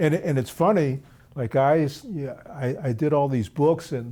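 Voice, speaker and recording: A man's dark, mellow voice, fairly high in pitch, with ordinary pitch variation, a fairly slow pace and a Philadelphia accent. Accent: American, Philadelphia. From US, Philadelphia. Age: 60s. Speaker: jazz drummer. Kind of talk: interview.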